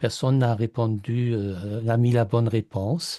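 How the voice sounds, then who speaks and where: In a German accent, a man speaks with a fairly low pitch and a dark, mellow, somewhat breathy tone. The sound is dry and close with no echo, and the background is quiet. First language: German (speaking French). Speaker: mastermind participant, German language teacher. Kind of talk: group sharing on video call. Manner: halting, many hesitations.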